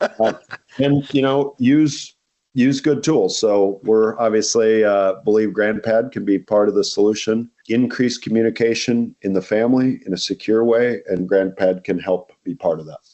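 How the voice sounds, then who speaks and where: In an ordinary speaking voice, a man talks at a medium pitch and a moderate pace with ordinary pitch variation. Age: 60s. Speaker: company CEO. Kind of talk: podcast interview. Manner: conversational with frequent fillers.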